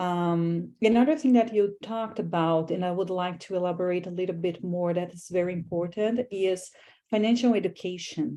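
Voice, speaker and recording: This woman has a dark, mellow tone and a medium pitch, with ordinary pitch variation. She speaks with a strong non-native accent. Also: very clean recording, silent background. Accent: foreign accent, strong. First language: not English. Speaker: graduate student, panel moderator. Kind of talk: panel discussion.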